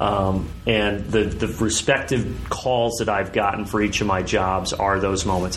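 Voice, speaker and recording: A man with an American accent speaks at a fairly low pitch in a flat monotone. Room echo is audible, along with noticeable background noise. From US Midwest (southern Indiana). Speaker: sports play-by-play broadcaster. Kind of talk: casual interview.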